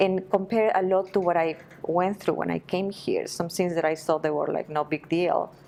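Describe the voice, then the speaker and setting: The speaker has a Spanish accent. Noticeable background noise is present. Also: woman, fairly low pitch for a woman, fairly even intonation, moderate pace. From Peru, Lima. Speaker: Spanish teacher. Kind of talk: interview. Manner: halting.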